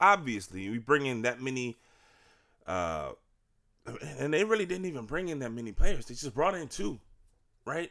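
A man with a bright, sharp, animated tone speaks at a moderate pace with very wide pitch swings and long, frequent pauses, on a very clean recording with a silent background. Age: 30s. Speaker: sports podcast host. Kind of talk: casual solo podcast monologue.

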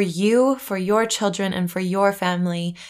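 A woman with an American accent, medium pitch and monotone, flat intonation, on a very clean recording with a silent background. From USA. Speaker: podcast host, doula and birth photographer. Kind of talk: solo podcast introduction.

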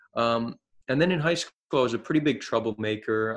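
Against a quiet background, a man of medium pitch speaks at a moderate pace with a New Jersey accent. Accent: American (New Jersey). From US, New Jersey. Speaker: social activist. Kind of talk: casual chat. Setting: remote call.

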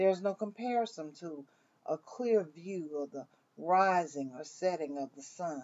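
A woman with a Southern US accent talks at a fairly slow pace in a fairly low pitch. Her loudness swings widely. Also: lively intonation. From US South, Mississippi. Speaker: minister. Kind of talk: devotional.

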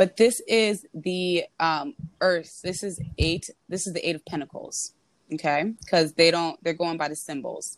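In an American accent and an unremarkable speaking voice, a woman talks at a fairly slow pace with fairly low pitch, ordinary pitch variation and big swings in loudness, in a dry, close sound with no echo. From New York City. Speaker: tarot reader. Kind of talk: casual chat.

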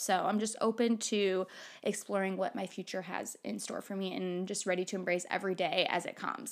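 An animated woman's voice at medium pitch, on a very clean recording with a silent background. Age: 20s. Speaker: solo podcaster. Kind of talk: casual monologue.

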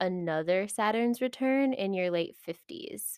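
A woman's normal speaking voice, fairly slow, with ordinary pitch variation, on a very clean recording with a silent background. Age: 20s. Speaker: podcast host, human design reader. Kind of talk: casual monologue.

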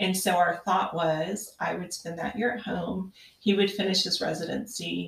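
A woman uses an ordinary speaking voice, speaking at a medium pitch and a moderate pace with fairly even intonation. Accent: American. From western Kansas. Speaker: podcast guest, mother of five. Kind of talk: casual interview.

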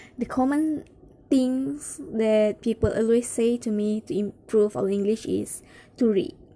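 The speaker's dark, mellow tone moves at a very slow pace with ordinary pitch variation. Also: woman. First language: Malay. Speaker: English learner sharing tips. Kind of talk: casual monologue vlog. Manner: halting.

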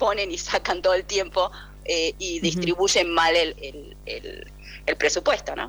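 Music plays behind a woman speaking with a Rioplatense accent. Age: 50s. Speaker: parent of a student. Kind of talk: phone interview. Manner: halting.

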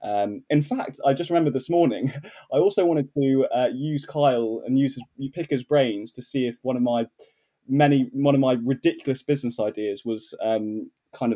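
With a dark, mellow tone and medium pitch, a man speaks at a moderate pace with ordinary pitch variation in a dry, close sound with no echo. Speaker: head of sales. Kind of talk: podcast interview. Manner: hesitant, many fillers.

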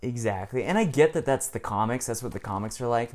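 The man has a plain, everyday voice, pitched in the medium range, with ordinary pitch variation. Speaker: prospective co-host. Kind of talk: casual chat.

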